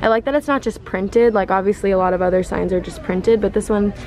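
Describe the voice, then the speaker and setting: A woman talks at a very fast pace with ordinary pitch variation. Light background noise is present. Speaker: vlogger. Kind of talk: casual vlog chat. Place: shop.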